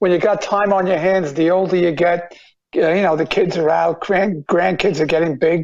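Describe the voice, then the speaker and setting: A man with a New York accent speaks at a moderate pace and high pitch. His loudness stays very even and his intonation fairly even. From Long Island, New York. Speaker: retired police officer. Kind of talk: interview. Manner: halting.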